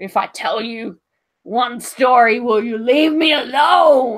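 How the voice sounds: This is a put-on character voice. It growls throughout. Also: female-sounding voice.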